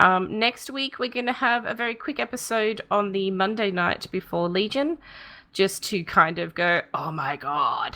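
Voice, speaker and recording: A plain, everyday voice with lively intonation. The pace is fairly slow. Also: woman, medium pitch for a woman. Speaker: podcast co-host. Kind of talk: casual chat. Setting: live stream.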